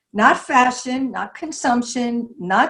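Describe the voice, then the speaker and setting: A woman speaks in a somewhat breathy voice. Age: 70s. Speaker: style icon and artist. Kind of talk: interview at online symposium.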